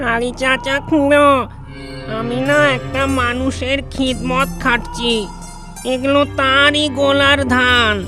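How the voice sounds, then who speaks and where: A cartoonish character voice at a very slow pace, with clear music in the background. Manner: excitable, repetitive.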